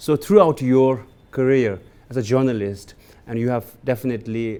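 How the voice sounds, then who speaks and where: The man speaks in a dark, mellow tone. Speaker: podcast host. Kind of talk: podcast introduction and interview questions.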